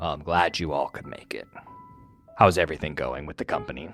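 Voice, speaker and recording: Faint music plays in the background. A man in a put-on character voice speaks at a fairly quick pace with a very deep, low pitch. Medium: actual play. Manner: poised, slyly controlling.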